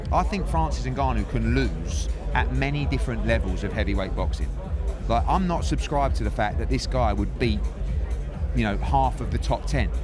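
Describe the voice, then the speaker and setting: At a moderate pace and with fairly even intonation, a man speaks in a very deep, low pitch, the sound dry with no echo and music in the background. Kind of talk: interview answer. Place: hall. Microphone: handheld.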